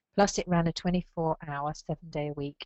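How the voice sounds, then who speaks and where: A woman with an English accent, her pitch fairly low, at a moderate pace. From England. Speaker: librarian association leader. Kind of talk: speech. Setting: video call. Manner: formal.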